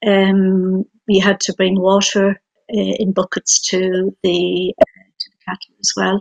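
A woman with a western Irish accent speaks over a quiet background. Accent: Connemara Irish English. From Ireland, Aran Islands; Ireland. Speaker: writer; guest. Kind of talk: panel discussion. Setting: video call. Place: home room. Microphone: video call.

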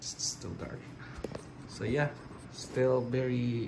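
A man with a Filipino accent speaks at a fairly slow pace. Noticeable background noise runs under his voice. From Philippines. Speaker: product reviewer vlogger. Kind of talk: product review video. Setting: at home, filming in the kitchen. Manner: halting, with frequent fillers. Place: kitchen. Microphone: phone near.

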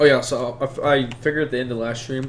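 Over noticeable background noise, a man talks at a very fast pace in a monotone, flat intonation. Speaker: streamer. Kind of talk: casual gameplay commentary. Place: home room. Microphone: headset.

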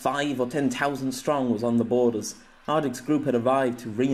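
Fairly even intonation marks this speaker's natural reading voice.

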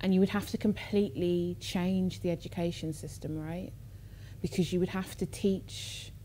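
Moderate pace from a female speaker amid light background noise. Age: 20s. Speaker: artist. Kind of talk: public conversation. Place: stage.

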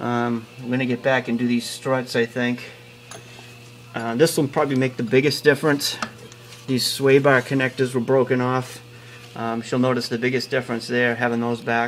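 Light background noise sits behind a man talking at a moderate pace in a monotone, flat intonation. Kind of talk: tutorial. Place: garage. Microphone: phone near.

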